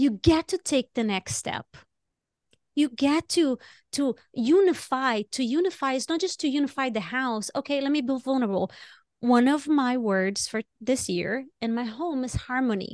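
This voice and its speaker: With a non-native accent, a woman talks at a moderate pace in a high pitch with lively intonation. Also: quiet background. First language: not English. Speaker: podcast co-host. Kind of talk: casual chat. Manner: animated.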